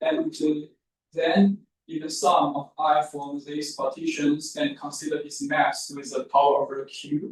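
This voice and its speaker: Speaking at a fairly slow pace, a man's voice makes big swings in loudness. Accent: non-native. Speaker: mathematics researcher. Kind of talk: lecture. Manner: halting.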